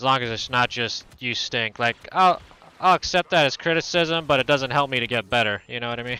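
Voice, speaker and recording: Mumbling at a fairly quick pace, a man speaks at medium pitch with a bright, sharp tone, and the sound is dry and close with no echo. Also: ordinary pitch variation. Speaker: video game streamer. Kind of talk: casual live-stream commentary while gaming. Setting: live stream. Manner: low-energy.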